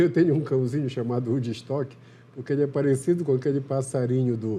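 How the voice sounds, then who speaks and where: A man speaks at a fairly quick pace in a medium pitch, with fairly even intonation. His tone is dark and mellow, and somewhat breathy. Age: 60s. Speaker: TV health show host, physician. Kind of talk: interview. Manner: conversational.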